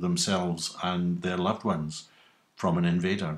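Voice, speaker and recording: A man with a west of Scotland accent speaks at a fairly slow pace with fairly even intonation, on a very clean recording with a silent background. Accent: Scottish (west of Scotland). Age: 60s. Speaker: YouTuber. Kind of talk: casual monologue answering survey questions.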